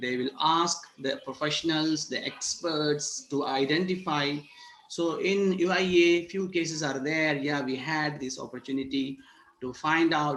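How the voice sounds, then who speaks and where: Against noticeable background noise, a man with a fairly high pitch and ordinary pitch variation speaks at a fairly slow pace. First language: not English. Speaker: university lecturer. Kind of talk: online workshop lecture. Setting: video call.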